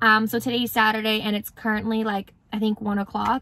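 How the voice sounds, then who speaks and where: A woman with a bright, sharp tone talks at a moderate pace, the sound dry and free of echo. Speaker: vlogger. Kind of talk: casual vlog chat. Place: car. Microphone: phone near.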